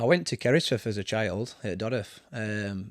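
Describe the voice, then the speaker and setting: A man with a fairly low pitch and a Barnsley accent. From Yorkshire, Barnsley area (from age seven). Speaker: football manager. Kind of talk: casual interview. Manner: hesitant, many fillers.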